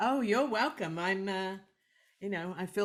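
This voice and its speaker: With a British accent, a woman speaks at a medium pitch with ordinary pitch variation in a very clean recording against a silent background. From UK. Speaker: film director. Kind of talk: interview answer. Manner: humorous, lively.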